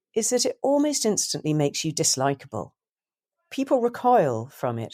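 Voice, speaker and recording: With a dark, mellow tone and vocal fry, a woman speaks at a fairly high pitch and a moderate pace in a very clean recording with a silent background. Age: 60s. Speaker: journalist and author. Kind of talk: interview.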